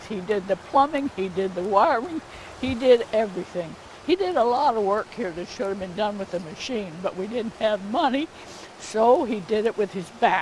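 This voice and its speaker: A woman's medium-pitched voice with lively intonation, at a fairly slow pace over noticeable background noise. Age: 80s+. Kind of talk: interview answer.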